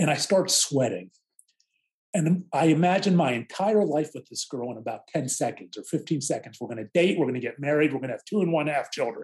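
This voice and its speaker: A man talks at a fairly quick pace with a fairly high pitch and lively intonation. His voice is somewhat breathy. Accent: American. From Pittsburgh area, Pennsylvania. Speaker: author and non-practicing lawyer. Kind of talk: interview testimony.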